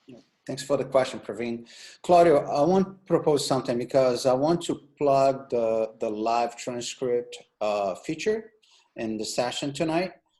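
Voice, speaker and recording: A man with a Brazilian accent, medium pitch and dark, mellow tone, lively intonation, big swings in loudness and a moderate pace. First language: Portuguese. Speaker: meetup organizer and interviewer. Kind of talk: interview on video call.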